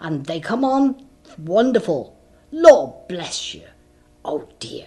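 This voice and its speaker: Very slowly and with very wide pitch swings, a female-sounding voice puts on a character voice at a fairly high pitch. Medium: read story. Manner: garrulous, self-important.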